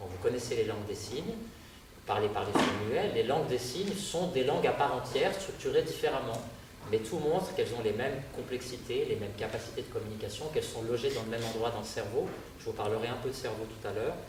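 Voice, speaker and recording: Very fast speech from a man, noticeable background noise, and audible room echo. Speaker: lecturer. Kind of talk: public lecture.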